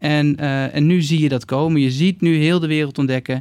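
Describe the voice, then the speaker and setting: The recording is very clean, with a silent background. A man talks at a moderate pace with fairly even intonation. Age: 40s. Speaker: bicycle company co-founder. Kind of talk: interview. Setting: studio. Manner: halting.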